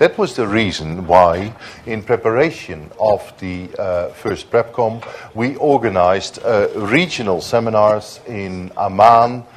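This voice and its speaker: This man's voice sits at a medium pitch with ordinary pitch variation. He speaks at a fairly slow pace over noticeable background noise. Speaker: diplomat, conference panelist. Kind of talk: conference panel speech. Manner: hesitant, many fillers.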